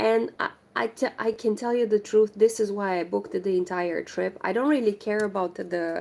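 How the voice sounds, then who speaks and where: A woman's medium-pitched voice in a Romanian accent, with ordinary pitch variation and a moderate pace. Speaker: crochet livestreamer. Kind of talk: casual chat.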